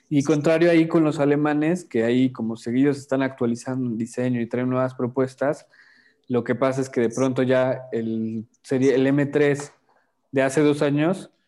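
This man has an unremarkable speaking voice, medium in pitch, delivered at a moderate pace with fairly even intonation. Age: young. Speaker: car podcast co-host. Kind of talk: casual chat.

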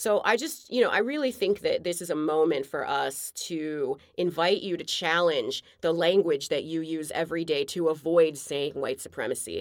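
A woman with an American accent talks at a moderate pace, with fairly low pitch, ordinary pitch variation and hardly any pauses. It is an ordinary speaking voice in a very clean recording with a silent background. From outside the US. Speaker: podcast co-host. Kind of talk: casual chat.

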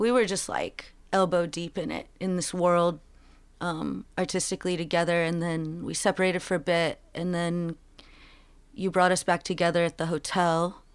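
Here is a woman with a plain, everyday voice, fairly low in pitch, with an American accent. Her pace is moderate and her intonation fairly even, on a very clean recording with a silent background. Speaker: musician. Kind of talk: casual interview.

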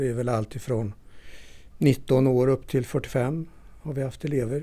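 This man has a medium pitch and a dark, mellow tone, talking at a moderate pace with fairly even intonation. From northern Värmland, Sweden (Torsby). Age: 60s. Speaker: folk high school teacher. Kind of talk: interview.

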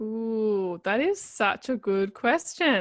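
A woman's voice carries an Australian accent and a fairly high pitch. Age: 30s. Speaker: life coach. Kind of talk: interview.

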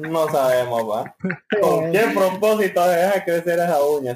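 This man has an unremarkable speaking voice, pitched fairly high. He talks at a moderate pace with ordinary pitch variation. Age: young. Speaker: podcast co-host. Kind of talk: casual chat.

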